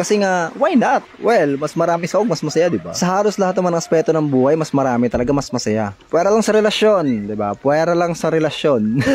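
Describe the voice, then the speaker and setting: There is noticeable background noise behind a man with a fairly high pitch. He barely pauses, and his pitch swings very widely. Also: fairly quick pace. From Philippines, Bicol region. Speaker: cooking vlogger. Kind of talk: casual cooking vlog chat. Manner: gossipy chatty tone.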